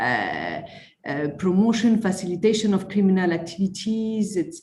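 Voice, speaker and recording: In a French accent, a woman speaks at a moderate pace and medium pitch with ordinary pitch variation. Audible room echo surrounds her voice. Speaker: conference attendee asking a question. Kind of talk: Q&A question at online conference. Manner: halting, many fillers and repetitions.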